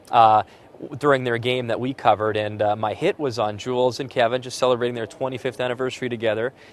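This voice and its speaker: A man talks at a very fast pace with fairly even intonation. The sound is dry, with no echo. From Alberta, Canada. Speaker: sports broadcaster. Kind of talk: interview; TV sports hosting. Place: stadium. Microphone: lapel.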